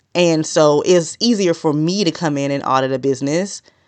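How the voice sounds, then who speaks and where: A woman with a very deep, low pitch speaks against a quiet background. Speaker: business podcaster. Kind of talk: solo podcast tutorial. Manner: usually fast talker.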